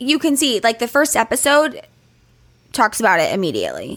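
At a moderate pace, a woman talks in an animated tone with lively intonation. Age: 30s. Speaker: podcast co-host. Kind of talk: casual chat; advice segment.

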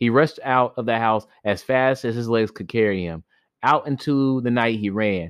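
A quiet background surrounds someone reading aloud in a natural voice.

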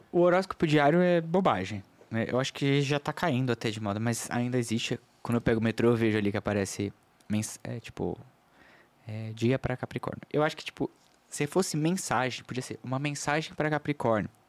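A man's normal speaking voice, a normal speaking voice at medium pitch with lively intonation and a fairly quick pace, in a very clean recording with a silent background and a dry, close sound with no echo. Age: 30s. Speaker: astrologer. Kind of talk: casual chat. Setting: studio.

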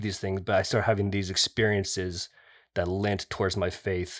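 A plain, everyday voice at a moderate pace, on a very clean recording with a silent background. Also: man. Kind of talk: casual chat.

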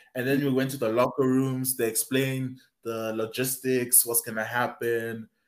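A man speaks at a medium pitch and a moderate pace. His intonation is monotone and flat. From South Africa. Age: 20s. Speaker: university student and rugby player. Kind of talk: casual interview.

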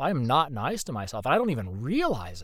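In an American accent with vocal fry, the speaker moves at a moderate pace with very wide pitch swings. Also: man. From Indiana, US Midwest. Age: 30s. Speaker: voice actor. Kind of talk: casual chat. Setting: video call.

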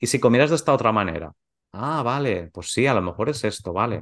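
Against a quiet background, a man with a plain, everyday voice talks at a medium pitch with lively intonation. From Spain, Valencia region (Gandía). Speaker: macrobiotics teacher and podcast co-host. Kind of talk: casual interview.

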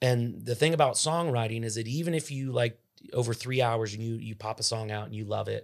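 In a normal speaking voice, a man talks at a fairly quick pace with a medium pitch and ordinary pitch variation. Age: 30s. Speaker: country singer-songwriter. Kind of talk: casual chat.

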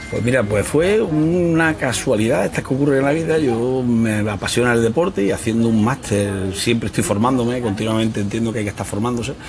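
Over noticeable background noise, a man talks with hardly any pauses and ordinary pitch variation. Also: medium pitch for a man, fairly quick pace. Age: 50s. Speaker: sports coach. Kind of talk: casual interview.

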